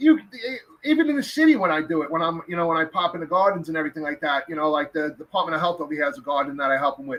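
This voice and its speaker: A man talks at a very fast pace, his pitch fairly high and its variation ordinary. His tone is animated, with hardly any pauses. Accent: New York. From New York. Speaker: podcast host. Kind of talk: casual chat. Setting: live stream. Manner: loud.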